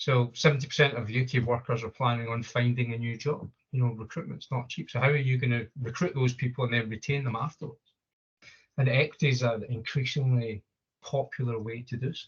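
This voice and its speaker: A man talks at a fairly quick pace in a medium pitch. His voice is somewhat breathy, with fairly even intonation. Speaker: equity consultant. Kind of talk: business presentation.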